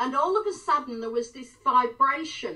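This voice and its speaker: A woman's high, raised and projected voice at a moderate pace, with very wide pitch swings over noticeable background noise. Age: 70s. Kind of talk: interview answer.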